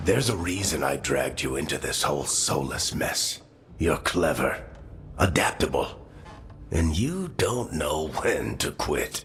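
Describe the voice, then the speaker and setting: A man's put-on character voice at a fairly slow pace, over clear background noise. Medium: video game. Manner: wry, casual.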